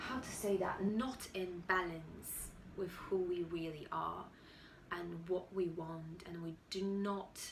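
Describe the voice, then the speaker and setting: Against noticeable background noise and audible room echo, a woman with a fairly low pitch speaks very slowly. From Poland. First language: Polish. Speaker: YouTuber and budding actor. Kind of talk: motivational talk to camera. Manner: halting, with restarts.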